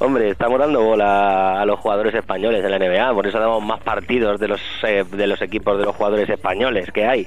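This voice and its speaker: A normal speaking voice at a fairly quick pace, with fairly even intonation, very even loudness and hardly any pauses. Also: man, fairly low pitch for a man. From Madrid, Spain (family from Soria). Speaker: basketball journalist. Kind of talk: casual radio interview. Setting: radio studio.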